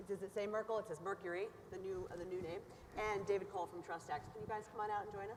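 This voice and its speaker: A woman with a medium pitch talks at a very fast pace, her intonation fairly even. There is noticeable background noise. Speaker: panel moderator. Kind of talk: moderated panel discussion. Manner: loud.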